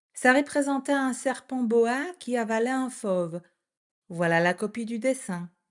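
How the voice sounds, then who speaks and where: Against a quiet background, a woman with a high voice speaks at a fairly slow pace with lively intonation. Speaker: French teacher. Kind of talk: reading aloud. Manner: clear.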